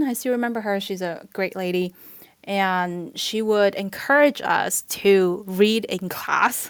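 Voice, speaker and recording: A woman speaks at a very slow pace in a Chinese accent. Her pitch is medium, with ordinary variation. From southern China, moved to New York at 14. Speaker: health tech professional. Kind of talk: casual chat.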